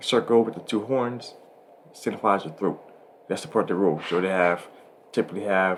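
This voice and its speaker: A man speaks at a fairly quick pace and a fairly low pitch. He uses ordinary pitch variation and leaves long, frequent pauses. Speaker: astrology podcast host. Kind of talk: casual chat. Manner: halting, self-correcting.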